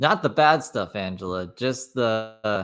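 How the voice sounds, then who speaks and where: Over a silent background in a very clean recording, a man with a fairly low pitch uses an ordinary speaking voice and lively intonation. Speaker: streamer co-host commenting on a stream. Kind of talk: casual commentary.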